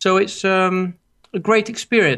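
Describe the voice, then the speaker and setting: A high-pitched man with a Greek accent against a quiet background. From Greece, Athens. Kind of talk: interview. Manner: halting.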